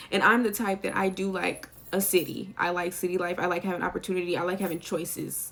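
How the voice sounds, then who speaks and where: Fairly low female voice in an American accent, fairly quick pace, noticeable background noise. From US South, Sumter, South Carolina. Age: 20s. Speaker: YouTuber. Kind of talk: casual chat. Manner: chatty, talkative.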